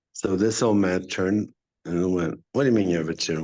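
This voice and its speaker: Against a quiet background, a man with a Spanish accent talks at a very fast pace with ordinary pitch variation. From Mexico. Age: 60s. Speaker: actor and acting teacher. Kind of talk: casual interview chat.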